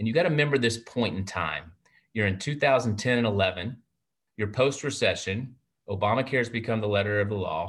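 Over a quiet background, a man with a Texan accent talks fairly quickly at medium pitch, somewhat breathy, with ordinary pitch variation. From Texas. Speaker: primary care physician and network president. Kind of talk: interview. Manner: warm, enthusiastic.

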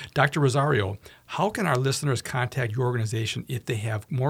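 A man's medium-pitched, somewhat breathy voice with ordinary pitch variation at a fairly quick pace. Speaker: radio host. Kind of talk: radio interview. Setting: radio studio.

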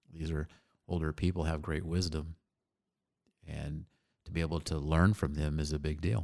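On a very clean recording with a silent background, a man with an American accent speaks at a moderate pace in a very deep, low pitch, monotone and flat, with long, frequent pauses. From Phoenix, Arizona. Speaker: entrepreneur and army veteran. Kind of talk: casual interview.

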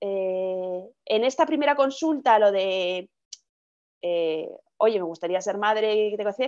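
A woman with lively intonation at a fairly slow pace against a quiet background. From Madrid, Spain. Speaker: podcast guest sharing fertility story. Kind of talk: interview testimony. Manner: hesitant, repeats words.

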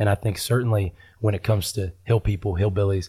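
In a very clean recording with a silent background, a man with an American accent speaks at a moderate pace in a dark, mellow, somewhat breathy tone, fairly low in pitch, with fairly even intonation. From Huntington, West Virginia. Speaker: pastor. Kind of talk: interview conversation.

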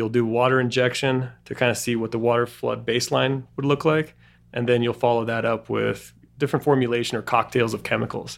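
A man talks fairly quickly at medium pitch with monotone, flat intonation. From Argentina (Bariloche). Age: 30s. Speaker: petroleum engineering professor and company CEO. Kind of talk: interview conversation. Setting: office.

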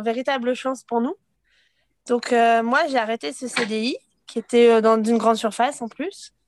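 The woman's voice sits at a high pitch. Her sound is dry and close, without echo. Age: 30s. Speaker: stay-at-home mother. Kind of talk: interview testimony. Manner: hesitant, many fillers.

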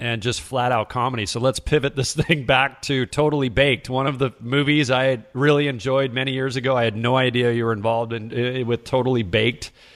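In a very clean recording with a silent background, a man speaks at a moderate pace with medium pitch, fairly even intonation and a plain, everyday voice. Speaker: podcast host. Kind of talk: podcast interview and intro.

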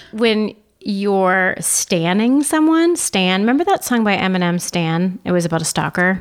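Her unremarkable speaking voice sits at a medium pitch as this woman moves at a fairly slow pace with lively intonation and very even loudness. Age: 30s. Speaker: podcast co-host. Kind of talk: casual chat.

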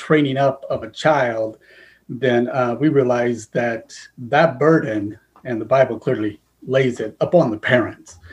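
Somewhat breathy, a man with an American accent speaks fairly slowly at a medium pitch with fairly even intonation. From US Northwest (Idaho). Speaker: educator and school administrator. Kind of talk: interview.

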